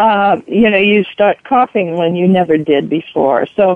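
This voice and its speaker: The speaker is a woman with an American accent. Her voice sits at a medium pitch. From Southern California. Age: 70s. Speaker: caller. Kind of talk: call-in radio talk. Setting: phone call. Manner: halting.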